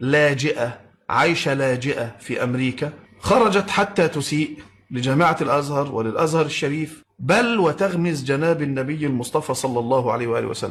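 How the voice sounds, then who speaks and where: With hardly any pauses, a man with an unremarkable speaking voice and a fairly high pitch talks at a fairly slow pace with lively intonation. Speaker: Islamic preacher. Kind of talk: religious commentary.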